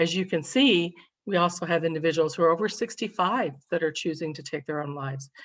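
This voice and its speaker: Speaking at a moderate pace with an American accent, a woman uses an ordinary speaking voice, fairly low in pitch with ordinary pitch variation, against a quiet background. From Kentucky, US South. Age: 60s. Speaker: state suicide prevention administrator. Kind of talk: presentation.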